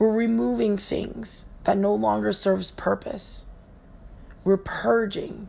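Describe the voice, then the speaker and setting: Her pace very slow, a woman speaks. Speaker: yoga teacher and podcast host. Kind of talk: solo motivational talk. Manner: casual, conversational.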